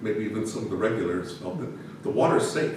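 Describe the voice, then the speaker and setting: Speech comes at a very fast pace. There is noticeable background noise and audible room echo. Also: man. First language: not English. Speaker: municipal administrator. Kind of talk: council meeting report. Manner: halting.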